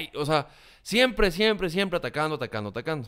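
A man with a Mexican accent, very fast pace, lively intonation and a bright, sharp tone. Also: quiet background. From Mexico. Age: 30s. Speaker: communication consultant and content creator; content creator. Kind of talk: interview. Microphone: studio mic.

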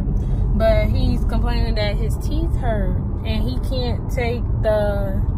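Over loud background noise, a woman's voice comes through dry, with no echo. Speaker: vlogger. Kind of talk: casual vlog chat. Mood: bummed, complaining. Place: car. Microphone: phone near.

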